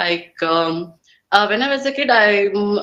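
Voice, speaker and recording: A woman with a Kannada accent talks at a very slow pace. Her pitch is medium, with ordinary variation. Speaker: English learner. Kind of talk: English speaking practice conversation. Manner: halting, many fillers.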